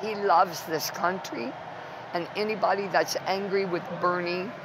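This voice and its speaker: With an American accent, a woman talks at a moderate pace and medium pitch with ordinary pitch variation, over noticeable background noise and audible room echo. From Ohio. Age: 60s. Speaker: political activist. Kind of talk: interview. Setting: political convention. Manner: impassioned.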